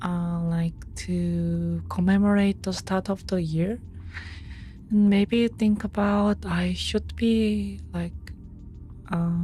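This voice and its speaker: A soft-spoken woman at a very slow pace, with long, frequent pauses and music in the background. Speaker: streamer. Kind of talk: casual chat. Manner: halting, many fillers.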